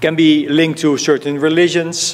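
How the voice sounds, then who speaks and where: Against noticeable background noise, a man with a Dutch accent talks at a moderate pace. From Netherlands. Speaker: fund manager. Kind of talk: conference talk.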